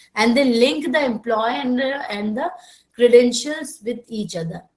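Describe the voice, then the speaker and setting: A woman's fairly high-pitched voice with lively intonation. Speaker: software trainer. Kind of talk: online training class. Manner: slow.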